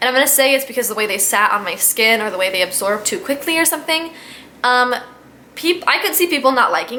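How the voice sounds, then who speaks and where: A woman's raised, projected voice, high in pitch with very wide pitch swings, against noticeable background noise. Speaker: beauty vlogger. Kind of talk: casual product review vlog. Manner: fast; chatty, rambling with fillers.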